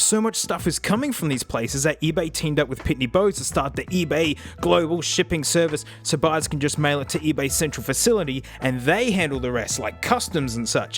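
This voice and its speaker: A man with an Australian accent talks at a fairly quick pace with hardly any pauses, his fairly high pitch rising and falling in lively intonation over music in the background. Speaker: YouTuber reviewing retro tech. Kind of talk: casual vlog narration.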